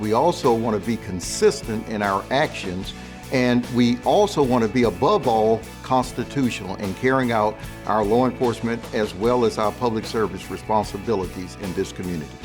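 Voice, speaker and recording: Over music in the background, a man speaks in a fairly low voice at a moderate pace with ordinary pitch variation. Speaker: police chief. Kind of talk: interview answer.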